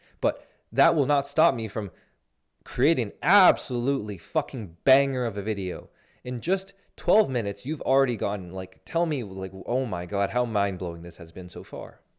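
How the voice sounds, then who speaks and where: An animated man with very wide pitch swings and big swings in loudness, on a very clean recording with a silent background. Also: medium pitch for a man. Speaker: life coach. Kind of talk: motivational monologue. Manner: fast.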